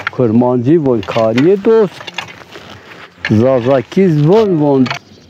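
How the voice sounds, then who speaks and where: Over noticeable background noise, a man with a fairly high voice speaks at a very slow pace with very wide pitch swings. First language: Zazaki (speaking Turkish). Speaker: villager interviewee. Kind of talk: interview testimony.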